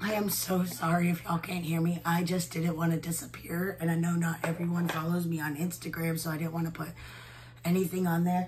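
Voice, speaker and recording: A woman's fairly low pitch and monotone, flat intonation at a fairly quick pace, over noticeable background noise. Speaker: beauty vlogger. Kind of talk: casual makeup tutorial chat. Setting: at home. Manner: hesitant, frequent filler words.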